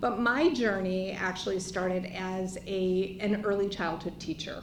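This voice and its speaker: Amid audible room echo and noticeable background noise, a woman speaks. Her pace is fairly slow and her intonation fairly even. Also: medium pitch for a woman. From US, Chicago. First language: not English. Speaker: nonprofit CEO, former early childhood teacher. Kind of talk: panel presentation.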